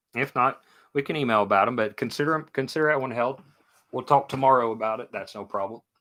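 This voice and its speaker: Speaking at a very fast pace, a man has a strong Kentucky accent. His tone is bright and sharp, at a medium pitch. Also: ordinary pitch variation. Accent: thick Kentucky. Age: 40s. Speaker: sports card seller. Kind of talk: live stream sale. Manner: casual, chatty.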